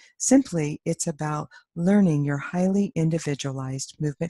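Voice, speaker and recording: A somewhat breathy voice with a dark, mellow tone moves at a moderate pace. The sound is dry and close with no echo, over a quiet background. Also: woman. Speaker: somatic education researcher. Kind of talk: conference presentation. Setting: stage with audience. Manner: formal.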